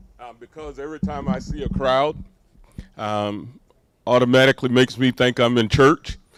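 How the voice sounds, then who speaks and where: A man with a Southern US accent at a medium pitch, moderate pace and ordinary pitch variation, in a dry, close sound with no echo. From US South, Micanopy, north Florida. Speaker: pastor. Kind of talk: public speech at ceremony. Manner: hesitant fillers.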